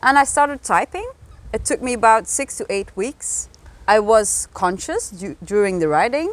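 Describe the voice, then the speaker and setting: A woman with a Flemish Belgian accent, at a moderate pace. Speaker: energy healing practitioner and author. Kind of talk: interview, casual chat.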